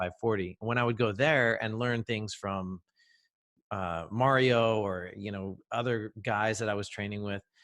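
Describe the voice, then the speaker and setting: On a very clean recording with a silent background, a man speaks slowly-ish in a plain, everyday voice, fairly low in pitch with fairly even intonation. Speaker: jiu-jitsu gym owner and podcast host. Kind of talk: casual interview conversation.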